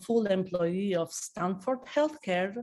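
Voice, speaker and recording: Lively intonation carries this speech in an Albanian accent, on a very clean recording with a silent background. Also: woman. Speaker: network marketing consultant. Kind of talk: business presentation. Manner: halting, with many fillers.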